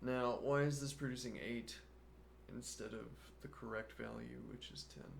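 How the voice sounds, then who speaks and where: A man talks at a moderate pace with big swings in loudness, long and frequent pauses, and audible room echo. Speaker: programming live streamer. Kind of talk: live coding stream. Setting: live stream.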